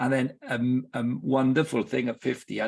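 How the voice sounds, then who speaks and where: A man speaks with vocal fry over a quiet background. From Wales. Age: 60s. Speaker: football club director and sports ministry leader. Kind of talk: podcast interview. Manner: halting, with repetitions.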